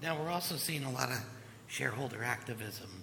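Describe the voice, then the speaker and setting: A man at medium pitch, fairly quick pace, over noticeable background noise. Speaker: panel moderator, lawyer. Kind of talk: panel moderation.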